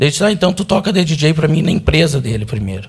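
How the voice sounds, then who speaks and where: Somewhat breathy, this man's voice comes out. Its pitch is fairly high for a man. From southern Brazil, Porto Alegre. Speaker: defendant in a criminal trial. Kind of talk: court testimony. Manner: emotional.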